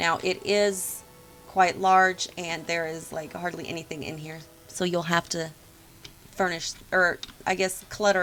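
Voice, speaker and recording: Here a woman speaks at a medium pitch in a plain, everyday voice. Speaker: video game builder and youtuber. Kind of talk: tutorial walkthrough. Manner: casual with frequent ums. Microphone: poor sound quality.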